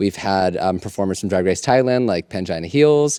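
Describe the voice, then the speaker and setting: A man with an American accent speaks at a fairly quick pace in a very deep, low pitch, with a dark, mellow tone and ordinary pitch variation. The recording is very clean, with a silent background and a dry, close sound with no echo. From New Jersey. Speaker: theatre director. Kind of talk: interview. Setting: live event venue in a mall.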